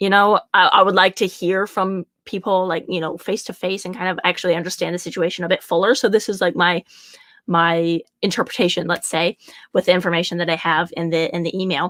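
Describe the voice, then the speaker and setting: A woman talks at a fairly quick pace in a dry, close sound with no echo. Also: medium pitch for a woman. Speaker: horse riding coach. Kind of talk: online teaching video. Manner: fast; casual, filler-heavy.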